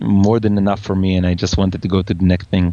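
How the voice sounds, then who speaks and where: Fairly low-pitched with a dark, mellow tone, a man talks with fairly even intonation. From Israel. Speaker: tech entrepreneur. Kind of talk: interview. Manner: halting.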